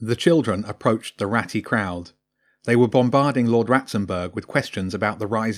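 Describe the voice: It is plain reading aloud against a quiet background.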